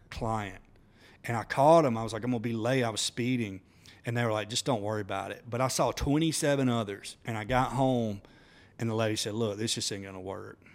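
A man talks with an Alabama accent and fairly even intonation. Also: medium pitch for a man, fairly quick pace, very clean recording, silent background. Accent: Southern US (Alabama). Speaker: entrepreneur. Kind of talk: casual chat.

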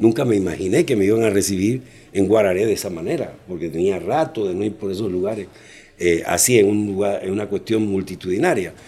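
Fairly quick in pace, the voice has a dark, mellow tone and ordinary pitch variation. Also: man, fairly low pitch for a man. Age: 60s. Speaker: children's clown. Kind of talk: interview.

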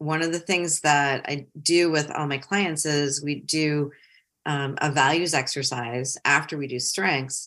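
A woman with a very deep, low voice speaks in a bright, sharp tone on a very clean recording with a silent background. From Ohio and Metro Detroit, US Midwest. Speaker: career coach and consultant. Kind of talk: casual interview.

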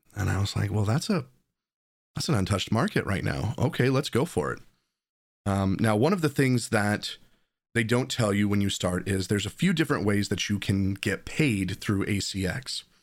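Fairly low-pitched man with lively intonation at a moderate pace, very clean recording, silent background. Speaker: audiobook narrator and content creator. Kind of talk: solo podcast monologue, storytelling. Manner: casual, conversational.

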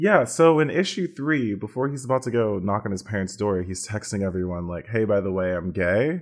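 A man with a plain, everyday voice speaks at a fairly low pitch and a fairly quick pace, with hardly any pauses. His intonation is lively, and the background is quiet. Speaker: Twitch streamer. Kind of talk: casual chat.

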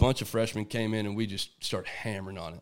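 Talking at a fairly quick pace, a man speaks with a Texan accent. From Texas. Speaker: hunting guide. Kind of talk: casual chat. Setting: at a house over dinner.

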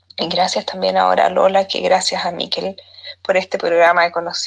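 A woman talks at a fairly quick pace. She has a Chilean accent. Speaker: widowed listener sending a voice note. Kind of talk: recorded voice message. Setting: voice note.

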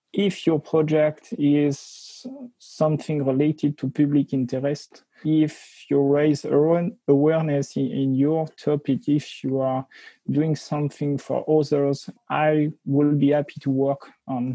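Speaking very slowly with a French accent, a man uses fairly even intonation at a fairly high pitch. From France. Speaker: security researcher. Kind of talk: interview.

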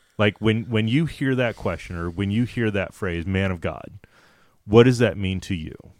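At a moderate pace, a man speaks with a fairly low pitch and ordinary pitch variation in an ordinary speaking voice. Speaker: podcast host. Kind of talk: casual interview chat.

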